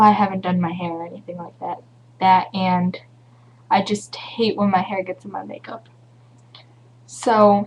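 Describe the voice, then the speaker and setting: A woman with an American accent, medium-pitched and somewhat breathy, with ordinary pitch variation at a moderate pace. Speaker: beauty vlogger. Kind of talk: tutorial. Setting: home webcam recording.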